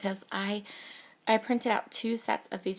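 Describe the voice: A woman speaks fairly slowly, her voice croaky with vocal fry. Her pitch sits at a medium level, and her intonation is fairly even.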